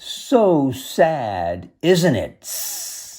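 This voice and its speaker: Hissing comes through in this put-on character voice. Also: man, fairly high pitch for a man. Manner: sinister, mocking.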